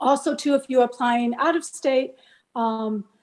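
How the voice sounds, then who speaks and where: Her pitch is high. The woman varies it in an ordinary way. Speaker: college admissions and scholarship consultant. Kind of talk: presentation.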